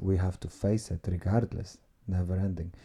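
A man's very deep, low voice, somewhat breathy, dark and mellow in tone, with fairly even intonation. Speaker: podcast host. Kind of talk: casual chat. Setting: at home.

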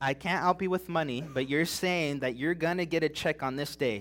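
A man with a fairly high voice speaks at a moderate pace over background music. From California, Big Bear Mountains. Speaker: preacher. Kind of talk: sermon. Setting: church service.

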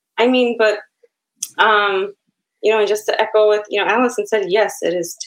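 A woman speaks with a Chicago accent. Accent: Chicago American English. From Chicago, US Midwest. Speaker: author and poet. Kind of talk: casual interview chat.

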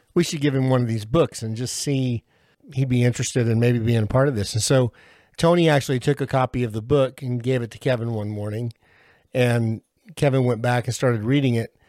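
The sound is dry and close with no echo as a man talks at medium pitch and a fairly quick pace. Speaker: podcast host and faith program leader. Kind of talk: casual panel discussion. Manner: enthusiastic.

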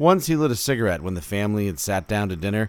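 A man speaks in a solemn, dramatic tone with very wide pitch swings. The recording is very clean, with a silent background. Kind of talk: poetry reading aloud, narrative prose poem. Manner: measured, slow, solemn with dramatic pauses.

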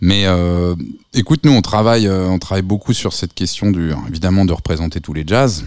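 His pace is fairly quick. The man's pitch sits very deep and low. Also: ordinary pitch variation. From France, Reims. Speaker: festival director and programmer. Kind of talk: radio interview.

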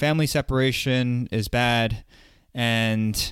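A man talks at a medium pitch. The recording is very clean, with a silent background. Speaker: podcast interviewer. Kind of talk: interview. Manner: halting, many fillers and repetitions.

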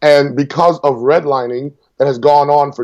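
Here a man talks. He has an ordinary speaking voice. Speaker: congressional candidate and military veteran. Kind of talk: interview.

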